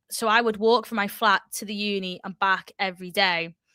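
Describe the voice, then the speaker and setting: A woman speaks in a Liverpool accent with a bright, sharp tone and flat, monotone delivery. The sound is dry and close with no echo, and the recording is very clean over a silent background. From Liverpool, northern England. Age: 20s. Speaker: fitness content creator. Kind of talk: casual chat.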